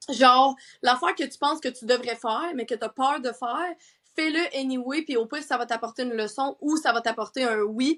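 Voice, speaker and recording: Speaking with a Quebec accent at a moderate pace, a woman sounds animated, her high voice showing ordinary pitch variation on a very clean recording with a silent background. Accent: Québécois French. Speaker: sleep coach and entrepreneur. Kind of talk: casual chat.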